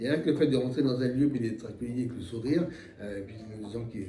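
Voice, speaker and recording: With music in the background and audible room echo, a man talks at a fairly quick pace. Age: 60s. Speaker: retired accountant, association treasurer. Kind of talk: interview. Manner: halting, many hesitations.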